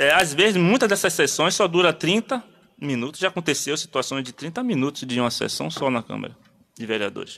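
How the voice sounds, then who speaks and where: A man with a fairly high pitch talks at a fairly quick pace in a bright, sharp tone, his pitch swinging very widely with vocal fry. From Bahia, Brazil. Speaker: community activist; interview guest. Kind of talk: radio interview. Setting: studio. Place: studio. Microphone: studio mic.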